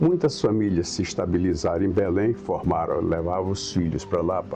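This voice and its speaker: Speaking at a moderate pace, a man with a very deep, low voice shows ordinary pitch variation over noticeable background noise. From Brazil, Araguatins, Tocantins. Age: 70s. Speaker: local elder interviewee. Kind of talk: oral history interview.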